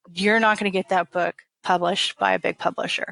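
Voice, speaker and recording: A woman with an American accent speaks at a moderate pace. The sound is dry and close, with no echo. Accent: Southern, Texas twang at times. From Texas. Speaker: author. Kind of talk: interview. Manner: casual.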